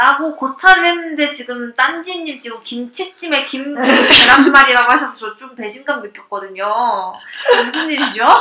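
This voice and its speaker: The voice is raised and projected, moving at a moderate pace with ordinary pitch variation. Loudness swings widely, and background noise is noticeable. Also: woman, high pitch for a woman. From Seoul, South Korea. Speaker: guest. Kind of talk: casual chat. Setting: live audio chat room with listeners.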